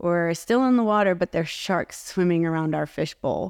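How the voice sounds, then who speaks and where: A woman speaks in a fairly low voice. The recording is very clean, with a silent background and a dry, close sound with no echo. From Southern California. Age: 40s. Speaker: actress and entrepreneur. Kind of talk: casual interview.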